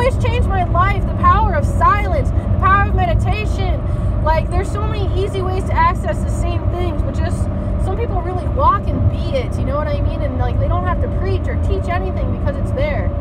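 A woman talks at a fairly fast rate over loud background noise. The sound is dry, without any echo. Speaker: spiritual vlogger. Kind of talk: casual vlog chat. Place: car. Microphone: phone near.

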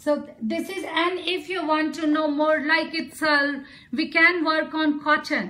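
In a raised, projected voice, a woman speaks at a fairly slow pace. Her high pitch has a bright, sharp tone and monotone, flat intonation. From India, Bihar. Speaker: folk artist; presenter. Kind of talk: live art demonstration. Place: home room. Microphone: phone near.

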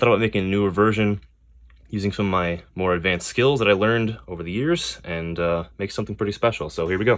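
Over a quiet background, a man speaks very fast in a fairly low pitch with ordinary pitch variation. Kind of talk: tutorial. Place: workshop. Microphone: phone near.

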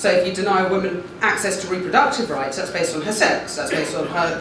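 A woman at a moderate pace, with noticeable background noise and audible room echo. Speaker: law professor. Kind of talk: panel talk. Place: classroom.

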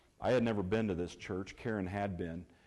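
A man speaks at a very fast pace with a fairly low pitch and a dark, mellow tone. The background is quiet. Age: 50s. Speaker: church member giving testimony. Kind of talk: testimony. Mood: warm, grateful, heartfelt. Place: church.

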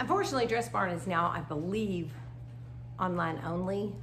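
With clear background noise behind her, a woman talks at a moderate pace in a fairly low pitch, her intonation lively.

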